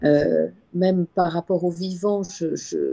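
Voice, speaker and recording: A woman speaks in a fairly low voice with a dark, mellow tone. The sound is dry and close, with no echo. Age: 60s. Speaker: webinar participant. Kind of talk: personal sharing in group discussion. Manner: halting, many repetitions and hesitations.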